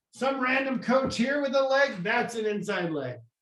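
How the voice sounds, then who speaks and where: Audible room echo surrounds a man speaking at a moderate pace with very wide pitch swings. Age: 50s. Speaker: business coach / trainer. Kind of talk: training webinar. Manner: casual, conversational.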